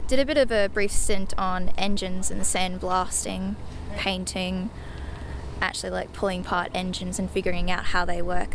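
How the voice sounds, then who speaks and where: With an Australian accent, a woman speaks at a moderate pace over noticeable background noise. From Brisbane, Australia. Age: 20s. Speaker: museum volunteer, aspiring pilot. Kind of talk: interview. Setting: aircraft workshop. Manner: casual, filler-heavy.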